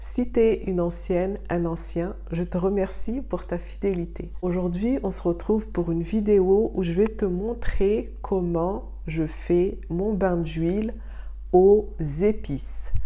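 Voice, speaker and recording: The woman's delivery is very slow. There is audible echo from the room. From Mayotte. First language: Shimaore (Mayotte language) (speaking French). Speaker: beauty and wellness youtuber. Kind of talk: tutorial.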